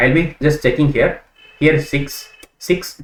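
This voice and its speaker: A man with an unremarkable speaking voice, fairly high in pitch, at a fairly slow pace. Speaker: programming teacher. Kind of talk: tutorial.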